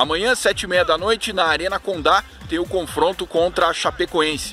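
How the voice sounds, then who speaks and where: A man speaks at a moderate pace in a raised, projected voice. The sound is dry with no echo, with light background noise. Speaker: sports reporter. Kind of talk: news report. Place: open country. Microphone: phone near.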